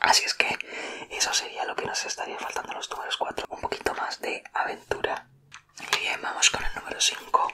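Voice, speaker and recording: Whispering, a man speaks at a fairly quick pace. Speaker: ASMR creator. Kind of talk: ASMR personality test talk to viewer. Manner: whispered. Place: home room. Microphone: studio mic.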